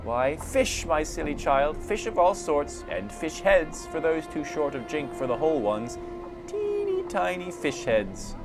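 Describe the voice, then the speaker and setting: A man's wheezy put-on character voice at a high pitch and a moderate pace, over loud background music. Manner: wheedling, teasing.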